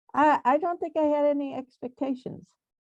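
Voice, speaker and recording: The sound is dry and close, with no echo. A woman speaks in a dark, mellow tone. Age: 60s. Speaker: selectboard member. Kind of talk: panel discussion.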